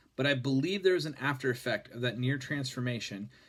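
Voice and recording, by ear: With ordinary variation in pitch, a passage is read aloud in a natural voice.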